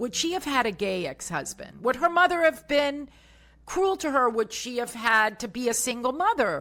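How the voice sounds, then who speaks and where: A woman's high, bright and sharp voice with an American accent and very wide pitch swings. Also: moderate pace. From US South, Tampa, Florida. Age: 60s. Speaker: motivational speaker and bodybuilder. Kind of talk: podcast interview.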